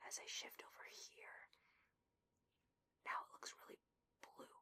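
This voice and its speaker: A woman whispers at a moderate pace. Her voice is breathy. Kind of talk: ASMR gameplay whisper. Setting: muffled basement recording with furnace noise. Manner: breathy whispered, soft.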